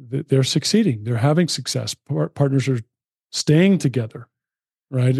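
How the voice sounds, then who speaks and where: A man with an American accent speaks at a moderate pace and medium pitch, sounding somewhat breathy in a dry, close recording with no echo. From US West Coast (San Fernando Valley, California). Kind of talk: casual chat.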